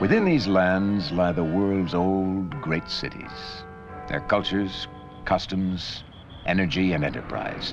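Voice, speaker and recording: Music plays in the background behind the speech. The delivery is very slow, with fairly even intonation. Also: man, very deep, low pitch for a man. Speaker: documentary narrator. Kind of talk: documentary narration. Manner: solemn, authoritative, measured.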